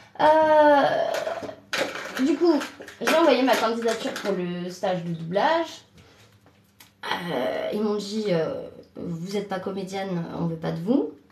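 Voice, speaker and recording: Over noticeable background noise, a woman with a medium-pitched voice speaks very slowly with long, frequent pauses and very wide pitch swings. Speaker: trainee voice actress. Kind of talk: casual live stream talk. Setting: bathroom.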